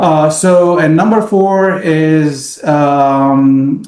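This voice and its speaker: A man's voice with ordinary pitch variation. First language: Arabic. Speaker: business owner. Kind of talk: casual interview. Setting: podcast. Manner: halting, many fillers.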